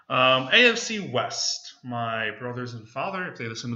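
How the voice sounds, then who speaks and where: A man's speech, with ordinary pitch variation, is heard under audible room echo and noticeable background noise. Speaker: podcast co-host. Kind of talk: casual sports chat. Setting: room recording. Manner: loud.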